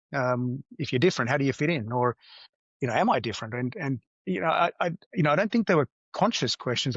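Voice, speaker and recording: The man speaks with an Australian accent at a fairly high pitch. His pace is very fast. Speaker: business executive. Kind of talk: interview. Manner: hesitant, many fillers.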